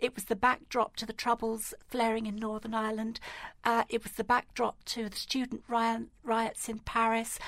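A woman with an English accent speaks at a moderate pace. Her fairly high voice stays monotone, with flat intonation. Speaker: equality and diversity campaigner and podcast host. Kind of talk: radio interview.

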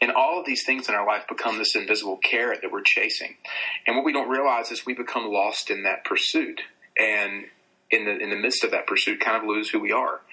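His pace runs fairly quick. The man speaks in a Southern US accent. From US South, North Carolina. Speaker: author and radio host. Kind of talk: casual interview, storytelling. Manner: warm, conversational, storyteller.

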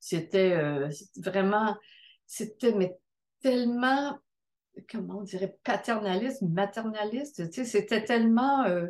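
Against a quiet background, a woman with a fairly high pitch and ordinary pitch variation speaks at a very slow pace, leaving long, frequent pauses. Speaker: midwife. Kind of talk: testimony.

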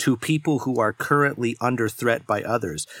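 A man with a normal speaking voice at medium pitch and a moderate pace. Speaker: podcast host and editor. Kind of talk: casual discussion. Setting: remote recording.

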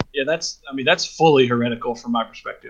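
This man has an unremarkable speaking voice, medium in pitch, with fairly even intonation and an American accent. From US South. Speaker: podcast co-host. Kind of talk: casual discussion.

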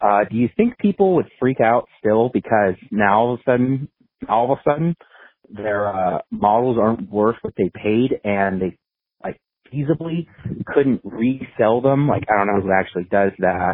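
A man with a plain, everyday voice talks at a moderate tempo, his medium pitch varying in an ordinary way. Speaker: caller. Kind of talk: casual voicemail message. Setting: phone call.

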